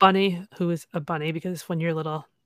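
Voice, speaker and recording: In a very clean recording with a silent background and a dry, close sound with no echo, a woman with a normal speaking voice talks at a fairly low pitch with fairly even intonation. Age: 30s. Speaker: plush toy owner and social media creator. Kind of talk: casual chat.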